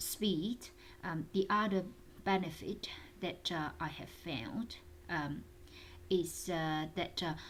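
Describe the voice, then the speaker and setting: A very slow, fairly low female voice with ordinary pitch variation and long, frequent pauses. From China. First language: Mandarin and Cantonese. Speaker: interpreter and translator. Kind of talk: tutorial talk. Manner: halting, many fillers.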